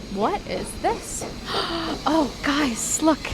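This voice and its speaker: A woman speaks at a very slow pace amid audible room echo, with music playing in the background. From Canada. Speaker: travel vlogger. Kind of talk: travel vlog. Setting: outdoors. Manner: casual.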